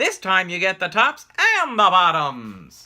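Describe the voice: Speaking at a fairly slow pace, a man uses a put-on character voice that is high and bright, with a sharp tone. His pitch swings very widely.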